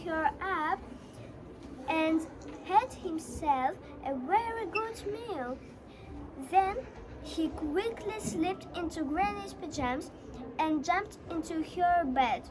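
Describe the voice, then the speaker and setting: In a put-on character voice with an extremely high pitch, the speaker talks at a very slow pace over clear background noise. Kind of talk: bedtime story. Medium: stage play.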